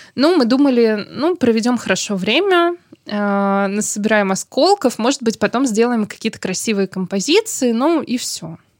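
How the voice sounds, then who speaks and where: A plain, everyday voice with lively intonation at a moderate pace, in a dry, close sound with no echo. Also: woman, fairly high pitch for a woman. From Saint Petersburg, Russia. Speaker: local historian and blogger. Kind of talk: interview. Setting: studio.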